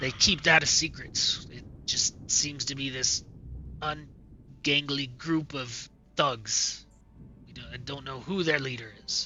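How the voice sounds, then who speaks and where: In a raspy, put-on character voice, a man with fairly high pitch talks fairly slowly, keeping his intonation fairly even and leaving long, frequent pauses. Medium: actual play. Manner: weary, hesitant, sighing.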